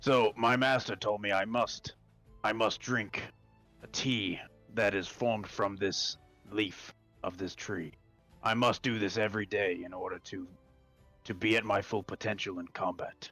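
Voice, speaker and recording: A man's raspy, fairly low put-on character voice at a moderate pace, broken by long, frequent pauses, with faint music in the background. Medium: actual play.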